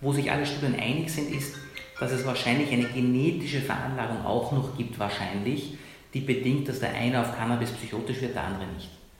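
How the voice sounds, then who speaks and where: With music in the background and audible room echo, a man at a medium pitch talks at a fairly quick pace with ordinary pitch variation. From Iran. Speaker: psychiatrist. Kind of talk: interview.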